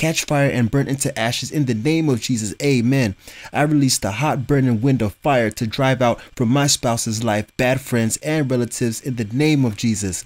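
A man's plain, everyday voice at medium pitch, with ordinary pitch variation, very even loudness and hardly any pauses. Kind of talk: fervent prayer, urgent spiritual warfare commands. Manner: intense, forceful, commanding, praying in rapid declarations.

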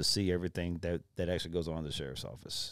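With a Texan accent, a man speaks at a very deep, low pitch. The recording is very clean, over a silent background. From Texas, Brazoria County. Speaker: county sheriff. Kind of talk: casual interview.

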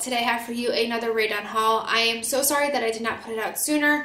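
Amid clear background noise, a woman talks fast at a fairly high pitch with little pitch movement.

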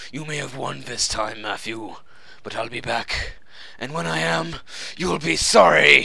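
A man with a medium pitch talks at a moderate pace, taking long, frequent pauses over noticeable background noise. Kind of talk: comic overacting. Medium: machinima. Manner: pompous, formal, grandiloquent.

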